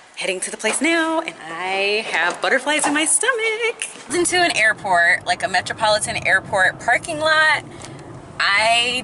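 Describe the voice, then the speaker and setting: A woman speaks at a moderate pace with very wide pitch swings, and there is noticeable background noise. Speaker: vlogger. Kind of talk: casual vlog chat. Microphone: phone near.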